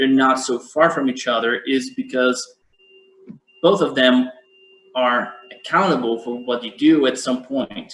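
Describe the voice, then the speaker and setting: With a Portuguese accent, a man talks at medium pitch. His pace is fairly slow. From Brazil. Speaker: event moderator, law scholar. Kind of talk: academic panel discussion. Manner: halting, many repetitions.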